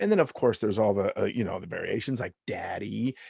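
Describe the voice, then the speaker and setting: A man with a medium-pitched voice talks over a quiet background. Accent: Southern California. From US West Coast, Long Beach, California. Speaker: stand-up comedian. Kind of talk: casual chat.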